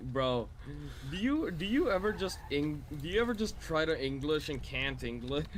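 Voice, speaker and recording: A man at a moderate pace, with audible room echo. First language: not English. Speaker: gaming streamer. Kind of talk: casual gaming chat.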